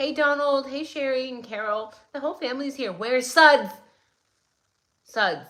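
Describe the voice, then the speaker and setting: Speaking at a moderate pace with long, frequent pauses, a woman's high-pitched, bright and sharp voice takes an animated tone, with ordinary pitch variation and big swings in loudness. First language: not English. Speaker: true crime livestream commentator. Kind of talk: live stream commentary with chat greetings.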